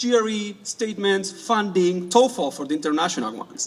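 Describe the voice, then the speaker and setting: Over noticeable background noise, a man with an Argentine accent speaks at a high pitch and a moderate pace with lively intonation. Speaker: graduating student speaker. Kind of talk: graduation speech.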